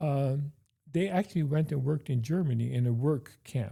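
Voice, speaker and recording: A man with a fairly high pitch speaks in a dark, mellow, somewhat breathy tone with lively intonation. His pace is moderate, and the recording is very clean with a silent background. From Belgium. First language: Dutch/Flemish. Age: 70s. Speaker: theology professor. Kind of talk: testimony. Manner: halting, many fillers.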